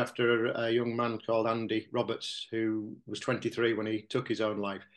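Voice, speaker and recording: Using a medium pitch, a man speaks at a fairly quick pace. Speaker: mental health group organiser. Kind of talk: casual interview. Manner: halting, hesitant.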